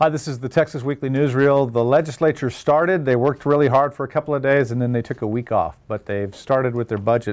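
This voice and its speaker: Speaking very fast with hardly any pauses, a man uses a medium pitch and ordinary pitch variation. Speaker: political news reporter. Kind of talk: weekly news roundup to camera.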